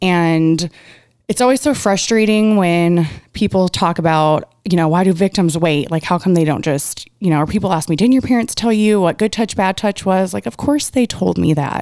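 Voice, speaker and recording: In a very clean recording with a silent background, a woman with an ordinary speaking voice talks at a moderate pace in a fairly low pitch, with ordinary pitch variation and very even loudness. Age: 30s. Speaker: abuse survivor and advocate. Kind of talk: interview. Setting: studio.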